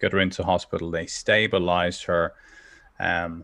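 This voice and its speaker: A man with a Dublin accent talks at a moderate pace, his very deep, low pitch carrying a bright, sharp tone over a quiet background. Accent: Dublin Irish. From Dublin, Ireland (Northside). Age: 40s. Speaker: entrepreneur and personal development coach. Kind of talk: personal testimony in interview. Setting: remote call from home office. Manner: hesitant, many fillers and repetitions.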